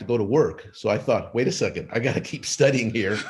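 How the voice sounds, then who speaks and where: A man speaks at a medium pitch with ordinary pitch variation and a somewhat breathy quality. The recording is very clean, with a silent background. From Los Angeles, US (born in Argentina). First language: Spanish. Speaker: physician and author. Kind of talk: podcast interview. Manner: halting with many fillers.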